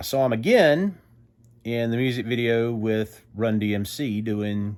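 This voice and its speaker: A man speaks with a Southern US accent. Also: very clean recording, silent background. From US South. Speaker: music vlogger. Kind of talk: casual monologue.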